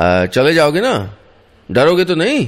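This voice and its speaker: A man speaks with very wide pitch swings. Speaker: radio storyteller. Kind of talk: radio story narration.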